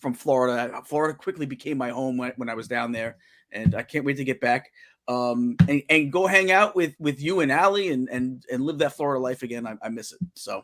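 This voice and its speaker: A man with a strong New York accent and a medium pitch, fairly quick pace, big swings in loudness and ordinary pitch variation, on a very clean recording with a silent background. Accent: thick New York. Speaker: talk show host. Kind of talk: casual chat. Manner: halting, many fillers and repeats.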